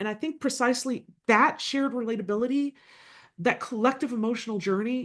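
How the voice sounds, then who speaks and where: A woman speaks at a fairly quick pace with a slight Southern US accent. The background is quiet. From US South, Louisville, Kentucky. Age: 50s. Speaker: political scientist. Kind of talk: keynote lecture.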